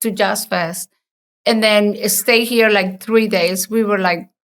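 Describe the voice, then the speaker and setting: A woman with a strong Costa Rican accent speaks at a medium pitch with fairly even intonation. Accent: heavy Costa Rican Spanish. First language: Spanish. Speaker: entrepreneur and designer. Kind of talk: interview conversation.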